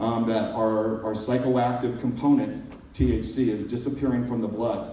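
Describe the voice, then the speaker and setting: Audible room echo and light background noise surround a man talking at a medium pitch. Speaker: pharmacist giving a conference talk. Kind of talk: technical lecture on pharmacology. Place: hall. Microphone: pa.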